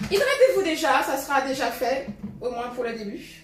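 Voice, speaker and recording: A high-pitched woman's voice amid noticeable background noise and audible room echo. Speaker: fitness coach. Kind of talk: live workout class. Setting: live stream with music.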